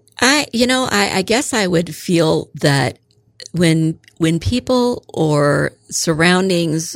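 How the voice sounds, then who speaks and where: The speaker is a woman. Her pitch is fairly low. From central Illinois, US Midwest. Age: 50s. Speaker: retired school office manager, tornado survivor. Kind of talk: interview storytelling. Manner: hesitant, many fillers.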